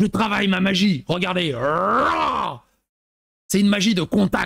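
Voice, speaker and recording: Here a man does a put-on character voice at a high pitch. He keeps a moderate pace. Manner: gruff, boastful, clipped.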